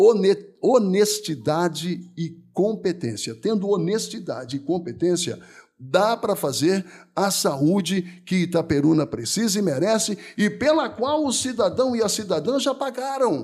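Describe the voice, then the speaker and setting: This man's voice sits high in pitch and moves in very wide pitch swings. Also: fairly slow pace. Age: 60s. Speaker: mayoral candidate. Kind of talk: political interview. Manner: animated.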